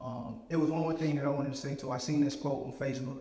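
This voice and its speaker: A man speaks at a fairly high pitch. His intonation stays fairly even, and room echo is audible. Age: 20s. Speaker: motivational speaker, young father and author. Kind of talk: inspirational talk.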